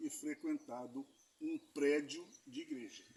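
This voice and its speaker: A man at a fairly slow pace over music in the background. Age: 50s. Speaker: street evangelist. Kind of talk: evangelistic conversation.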